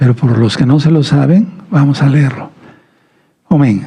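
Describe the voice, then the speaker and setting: A man speaks fairly slowly at a fairly high pitch, his tone dark, mellow and somewhat breathy. Audible room echo surrounds his voice. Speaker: messianic preacher. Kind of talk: sermon. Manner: restrained, not raising voice.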